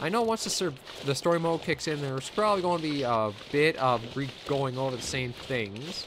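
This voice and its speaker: At a moderate pace, a man with a fairly high pitch uses a normal speaking voice and lively intonation. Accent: Canadian. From Canada. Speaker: gaming commentator. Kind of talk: let's play commentary. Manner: casual.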